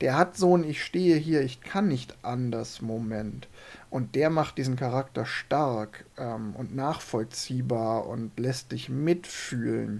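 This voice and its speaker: A very slow pace of speech, captured on a very clean recording against a silent background. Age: 40s. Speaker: film podcast host. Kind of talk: casual chat.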